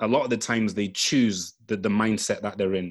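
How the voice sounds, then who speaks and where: The speaker has an ordinary speaking voice and keeps a moderate pace. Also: man. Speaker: podcast panelist. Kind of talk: casual discussion.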